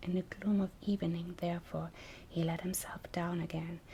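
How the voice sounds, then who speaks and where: Soft-spoken delivery holds to a moderate pace. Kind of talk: fairy tale reading.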